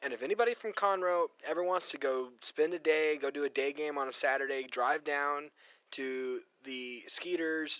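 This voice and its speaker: A man with an American accent, his fairly high voice bright and sharp, at a moderate pace in a dry, close recording with no echo. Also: ordinary pitch variation. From Texas, Katy near Houston. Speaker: radio co-host. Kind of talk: casual chat.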